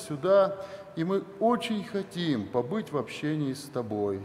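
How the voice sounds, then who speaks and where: A man talks at a very slow pace, his pitch swinging very widely. Light background noise can be heard. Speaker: church minister leading prayer. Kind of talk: spoken prayer. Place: church. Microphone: podium.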